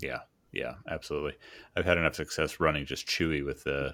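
Very cleanly recorded against a silent background, a man with a very deep, low pitch speaks in a monotone, flat way, his tone bright and sharp with vocal fry. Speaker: podcast host. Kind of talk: casual interview chat.

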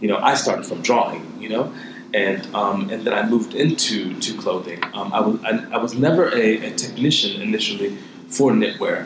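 A man with an American accent at a fairly quick pace, amid audible room echo and noticeable background noise. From Ohio, US. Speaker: fashion designer. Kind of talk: interview.

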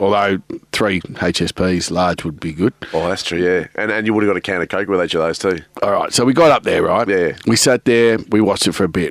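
A man with an Australian accent, fairly low in pitch, fairly quick, with ordinary pitch variation. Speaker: podcast co-host. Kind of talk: casual chat. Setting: studio.

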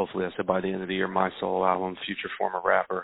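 Very deep, low male voice at a fairly quick pace. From South Philadelphia. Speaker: rapper. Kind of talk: casual chat.

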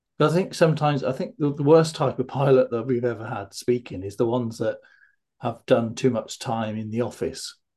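A man talks at a fairly quick pace in a medium pitch, his tone dark and mellow, somewhat breathy, with ordinary pitch variation. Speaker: fear of flying coach and podcast host. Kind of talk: casual interview.

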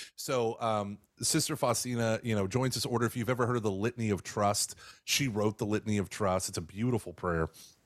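A normal speaking voice moves at a fairly quick pace with ordinary pitch variation and very even loudness. The recording is very clean with a silent background. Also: man, medium pitch for a man. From Texas. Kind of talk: interview on radio podcast. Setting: radio show.

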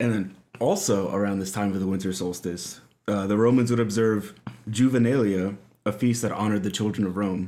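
Fairly low-pitched, a man speaks at a fairly quick pace in a dark, mellow tone with fairly even intonation. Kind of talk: casual chat.

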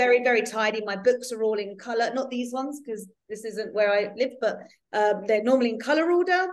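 Audible room echo surrounds a woman speaking at a fairly quick pace. Her pitch is fairly high, with ordinary variation. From London. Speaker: author. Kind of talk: casual interview chat.

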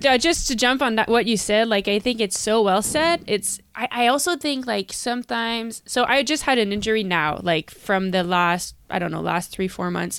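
Lively intonation runs through a woman's plain, everyday voice, pitched fairly high. She keeps a moderate pace with hardly any pauses. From Canada. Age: 30s. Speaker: professional cyclist. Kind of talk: casual interview. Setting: remote call.

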